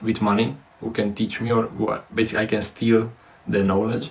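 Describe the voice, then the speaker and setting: At a moderate pace, a man with a non-native accent talks at a medium pitch against noticeable background noise. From Romania. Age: 20s. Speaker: content creator. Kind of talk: personal vlog monologue. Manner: halting, many fillers.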